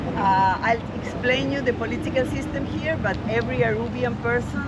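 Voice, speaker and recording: The speaker has an Argentine accent. Noticeable background noise can be heard. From Argentina. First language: Spanish. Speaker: tour guide. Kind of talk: guided tour talk.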